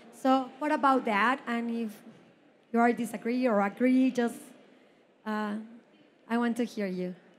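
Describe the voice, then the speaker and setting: Speaking in a Mexican accent, a woman has a fairly high pitch and fairly even intonation. She goes at a fairly slow pace with long, frequent pauses. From Mexico. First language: Spanish. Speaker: audience member asking a question. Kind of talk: audience question. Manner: halting.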